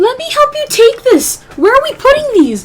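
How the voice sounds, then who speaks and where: A woman's put-on character voice, squeaky and extremely high-pitched, with very wide pitch swings. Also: moderate pace, big swings in loudness. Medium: actual play.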